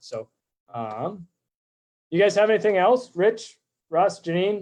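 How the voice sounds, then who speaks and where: A man speaks loudly. His pitch variation is ordinary. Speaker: real estate agent. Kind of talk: live stream presentation. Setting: live video stream. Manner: fast.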